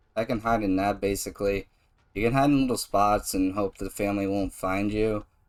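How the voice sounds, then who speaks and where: On a very clean recording with a silent background, a man with an ordinary speaking voice talks at a fairly quick pace and a fairly low pitch. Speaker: gaming YouTuber. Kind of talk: gameplay commentary. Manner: casual.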